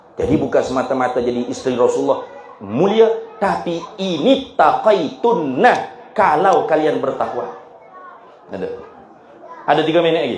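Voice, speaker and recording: A man with a strong Kelantan accent speaks at a fairly high pitch, with very wide pitch swings and long, frequent pauses. Audible room echo and noticeable background noise fill the recording. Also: moderate pace. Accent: thick Kelantan Malay. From Malaysia, Kelantan. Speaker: Islamic preacher. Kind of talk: religious lecture.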